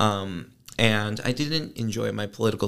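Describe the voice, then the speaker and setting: The speaker is a man with a fairly low pitch. Vocal fry runs through his voice. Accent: American. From northern Illinois, Chicago suburbs. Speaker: graduate student. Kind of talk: interview.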